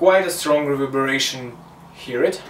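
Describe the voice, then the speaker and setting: Against noticeable background noise and audible room echo, a man with a Russian accent talks with ordinary pitch variation. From Russia, Moscow. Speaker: music production student teaching a lesson. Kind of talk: tutorial. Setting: small home room with a condenser mic. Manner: halting.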